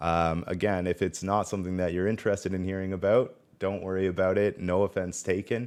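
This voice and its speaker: The speaker has a Canadian accent and a fairly quick pace. Intonation stays monotone and flat. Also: man, very deep, low pitch for a man, quiet background. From Ontario, Canada. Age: 30s. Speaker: gaming content creator. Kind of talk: personal testimony. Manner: halting, many fillers.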